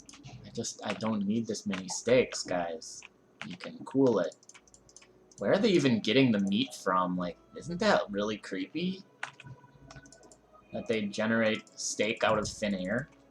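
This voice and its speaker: A man's voice with big swings in loudness and long, frequent pauses, against noticeable background noise. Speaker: game streamer. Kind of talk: live gameplay commentary. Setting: live stream. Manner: casual, halting.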